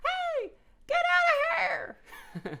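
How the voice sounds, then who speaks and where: A put-on character voice comes out shrill and at an extremely high pitch. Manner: shrieking.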